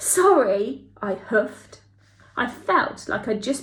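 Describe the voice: The words are read out plainly. Nothing more is added to the delivery.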